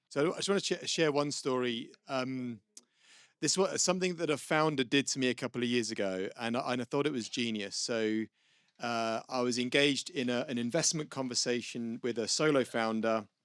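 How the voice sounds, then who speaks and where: The speaker has a British accent and a moderate pace. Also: man, medium pitch for a man, ordinary pitch variation. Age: 50s. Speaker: venture capitalist. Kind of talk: panel discussion. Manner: casual, animated.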